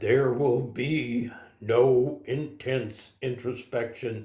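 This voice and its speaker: Using a put-on character voice, a man talks very slowly at a medium pitch with fairly even intonation. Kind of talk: formal and solemn. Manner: stern, solemn, mock-serious.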